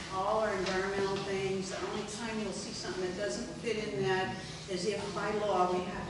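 Moderately paced speech from a woman amid audible room echo and loud background noise. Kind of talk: informal presentation. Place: hall. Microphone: camera far.

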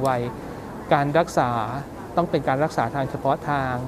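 Noticeable background noise behind a man's voice, its pitch varying in an ordinary way. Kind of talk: interview answer. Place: hall. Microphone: lapel.

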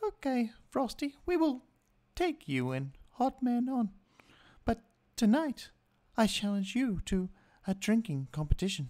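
A female-sounding put-on character voice sits at a fairly high pitch and swings very widely. It moves at a fairly slow pace with long, frequent pauses. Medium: actual play.

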